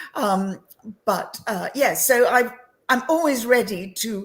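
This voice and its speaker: A woman with a southern English accent and lively intonation. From England (London). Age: 70s. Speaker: entrepreneur and women's coach. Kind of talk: interview chat.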